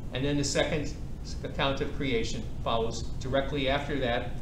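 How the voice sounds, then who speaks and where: Noticeable background noise behind a man's moderately paced speech. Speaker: priest teaching a Bible class. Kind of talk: lecture. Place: hall.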